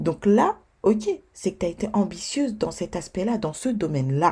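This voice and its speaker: A woman's dark, mellow, somewhat breathy voice moves through very wide pitch swings. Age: 20s. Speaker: podcast host and blogger. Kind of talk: solo podcast monologue.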